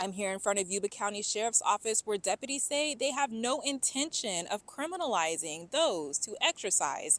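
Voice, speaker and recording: A woman with an American accent, fairly high-pitched with very wide pitch swings and a moderate pace, in a very clean, dry, close recording with a silent background and no echo. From Northern California. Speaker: news reporter. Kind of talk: TV news report. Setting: outdoors.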